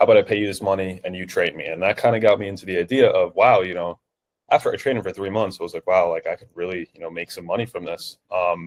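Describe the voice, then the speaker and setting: A man talks at a very fast pace in a New Jersey accent, his loudness swinging widely. The sound is dry and close with no echo, on a very clean recording with a silent background. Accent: New Jersey American English. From New Jersey, US. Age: 20s. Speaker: online fitness coach. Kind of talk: interview. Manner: hesitant, many fillers.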